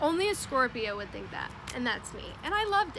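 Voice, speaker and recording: A woman's lively intonation bounces along at a fairly quick pace through noticeable background noise. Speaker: storytelling vlogger. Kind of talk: casual storytime monologue. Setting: outdoors. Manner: loud; animated.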